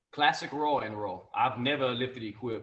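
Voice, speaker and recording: A man is speaking. He has a Louisiana accent. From Louisiana, USA. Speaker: gym owner, powerlifter. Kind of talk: podcast guest conversation.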